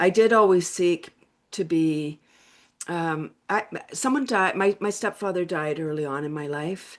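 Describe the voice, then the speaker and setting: A woman speaks at a fairly slow pace in a fairly low pitch. Her pitch varies in an ordinary way. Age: 60s. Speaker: laughter and wellness coach. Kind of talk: interview. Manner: animated.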